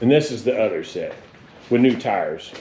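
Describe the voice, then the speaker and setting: There is noticeable noise in the background. Over it, a man speaks in a fairly high voice. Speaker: car hobbyist vlogger. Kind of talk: casual vlog talk. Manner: loud, yelling.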